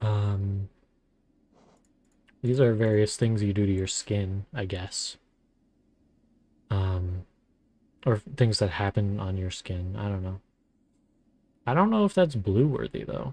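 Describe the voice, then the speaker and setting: A man's somewhat breathy, dark, mellow voice at a fairly low pitch, relaxed in tone, very slow with long, frequent pauses, ordinary pitch variation, and a quiet background. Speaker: vtuber streamer. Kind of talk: casual gaming stream chat. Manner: relaxed, chill.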